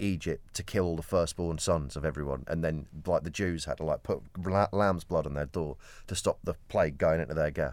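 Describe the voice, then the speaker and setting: In a very clean recording with a silent background, a man speaks at a fairly quick pace with a very deep, low pitch, vocal fry, an animated tone and ordinary pitch variation. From Kent, England. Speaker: podcast co-host. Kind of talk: casual banter chat. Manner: jokey, animated.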